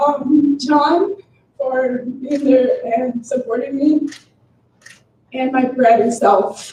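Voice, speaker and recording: A woman with a Spanish accent speaks at a very slow pace and a high pitch, with ordinary pitch variation and long, frequent pauses. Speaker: graduating student. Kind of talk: graduation speech.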